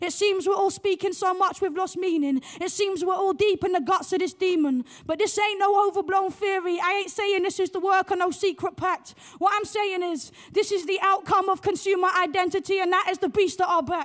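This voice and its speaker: Over a quiet background, a woman speaks at an extremely high pitch. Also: fairly quick pace. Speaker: poet and playwright. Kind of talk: spoken word poetry performance. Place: stage. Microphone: handheld.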